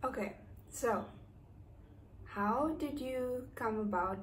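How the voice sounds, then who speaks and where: A woman speaks at a very slow pace with ordinary pitch variation, over noticeable background noise and audible room echo. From South Africa, East London. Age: 30s. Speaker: vlogger. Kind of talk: casual chat. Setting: indoors, raining outside.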